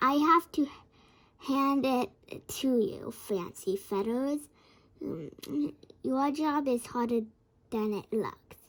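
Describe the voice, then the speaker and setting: Putting on a character voice, a woman speaks high-pitched at a very slow pace with long, frequent pauses. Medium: read story.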